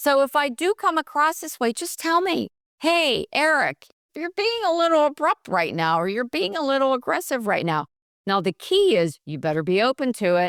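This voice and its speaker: A woman with an American accent makes very wide pitch swings. The sound is dry and close with no echo, in a very clean recording with a silent background. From Pittsburgh, Pennsylvania. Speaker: nurse and bullying prevention expert. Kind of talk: podcast interview. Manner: animated, gets louder when passionate.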